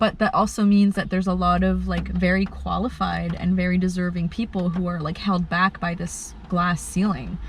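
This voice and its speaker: At a moderate pace and with hardly any pauses, a woman talks over noticeable background noise. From Kuwait. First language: Arabic. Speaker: bioartist. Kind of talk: interview. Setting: in a car. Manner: halting, many fillers.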